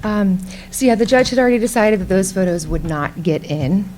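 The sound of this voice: Soft-spoken and fairly quick, a woman speaks at medium pitch with a slightly mellow tone and lively intonation.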